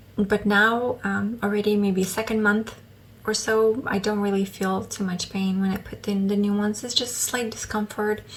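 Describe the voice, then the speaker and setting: Over noticeable background noise, a woman speaks fairly slowly in a monotone, flat intonation. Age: 30s. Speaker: vlogger. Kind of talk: casual chat. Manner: hesitant, many fillers.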